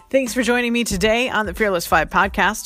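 A woman speaks over noticeable background noise. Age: 40s. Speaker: life coach podcast host. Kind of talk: solo podcast monologue. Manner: fast; animated.

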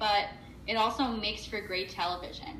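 In a room with audible echo and noticeable background noise, a woman with an American accent speaks at a moderate pace. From New Jersey. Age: 20s. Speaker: podcast co-host. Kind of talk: casual chat.

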